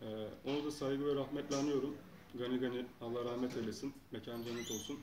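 A man talks at a fairly quick pace with fairly even intonation against noticeable background noise. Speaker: interviewee. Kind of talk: interview answer. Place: home room.

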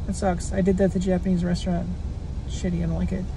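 Light background noise sits under a woman's voice, which has a dry sound with no echo. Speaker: drink reviewer vlogger. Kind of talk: casual vlog chat. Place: car. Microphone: phone near.

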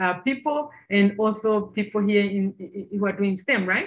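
Against a quiet background, a woman speaks in a somewhat breathy voice. Her pace is fairly slow, with ordinary pitch variation. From Zambia. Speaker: engineer; presenter. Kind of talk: presentation. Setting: video call. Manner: hesitant, many fillers. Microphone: video call.

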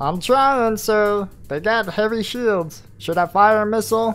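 A female-sounding, put-on character voice at medium pitch for a woman moves at a fairly slow pace. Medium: game stream. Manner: aggressive, impulsive.

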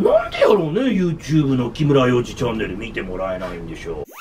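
Fairly quick speech from a man over light background noise. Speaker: radio personality. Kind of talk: casual talk show chat. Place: office.

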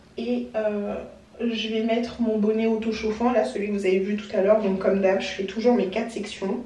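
Strong room echo surrounds a woman whose medium-pitched, dark, mellow voice moves little in pitch at a moderate pace.

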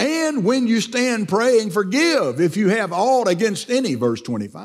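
Moderate-paced speech from a man, with quiet behind him. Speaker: pastor. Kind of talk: church sermon. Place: church.

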